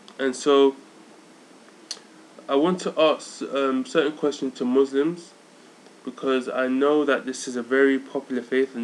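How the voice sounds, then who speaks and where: At a fairly slow pace, a man with a medium-pitched voice keeps his intonation fairly even. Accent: London. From London, England. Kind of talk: casual vlog monologue. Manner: halting, many fillers.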